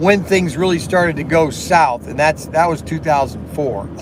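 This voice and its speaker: An animated man with a high pitch, ordinary pitch variation and a moderate pace, over noticeable background noise and audible room echo. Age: 60s. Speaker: slot car shop owner and live streamer. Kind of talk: casual live stream chat. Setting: live stream at work. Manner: halting, repetitive with many fillers.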